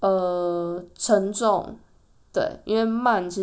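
A woman's fairly even intonation amid audible room echo. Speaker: podcast host. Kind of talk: solo podcast monologue.

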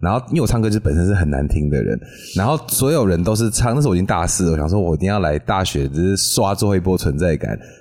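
A man speaks very fast in a very deep, low voice, his pitch swinging very widely while his loudness stays very even. Noticeable background noise runs underneath. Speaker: podcast co-host. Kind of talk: casual chat.

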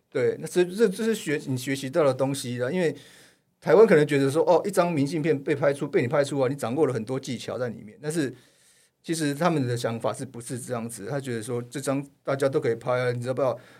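On a very clean recording with a silent background, a man rattles along at a very fast pace with a fairly high pitch and ordinary pitch variation. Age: middle-aged. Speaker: photojournalist. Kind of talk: casual chat.

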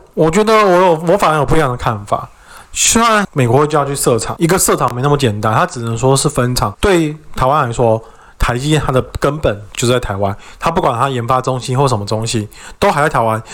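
A man in a Taiwanese accent, fairly high-pitched, with lively intonation and a fairly quick pace. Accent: Taiwanese Mandarin. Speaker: podcast co-host. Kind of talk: casual chat.

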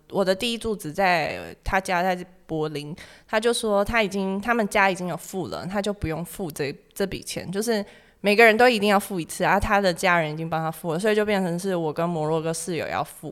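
A woman speaks in an unremarkable speaking voice at medium pitch with ordinary pitch variation. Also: fairly quick pace. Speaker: graduate student abroad. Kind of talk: casual chat.

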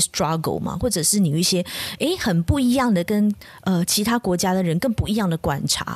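Somewhat breathy, a woman talks at a fairly quick pace and medium pitch with lively intonation. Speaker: podcast host. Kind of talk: casual chat.

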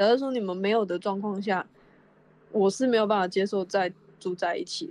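A woman at medium pitch, fairly quick yet with long, frequent pauses, ordinary pitch variation and big swings in loudness. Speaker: podcast co-host. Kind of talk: casual chat; product endorsement. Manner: sleepy-sounding.

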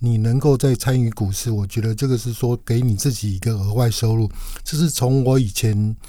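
With a dark, mellow tone, a man speaks at a moderate pace in a medium pitch, somewhat breathy, with ordinary pitch variation. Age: 50s. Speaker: veteran stock investor. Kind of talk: casual interview chat.

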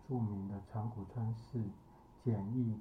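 A man of medium pitch, monotone and flat, at a fairly slow pace, with audible room echo and noticeable background noise. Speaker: psychologist and podcast host. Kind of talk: solo podcast commentary.

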